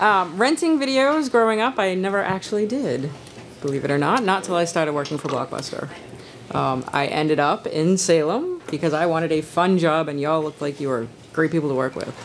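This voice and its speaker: Spoken at a fairly quick pace with an American accent, over noticeable background noise. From Danvers, Massachusetts. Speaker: former video store assistant manager. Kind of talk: live podcast panel chat. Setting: stage with audience.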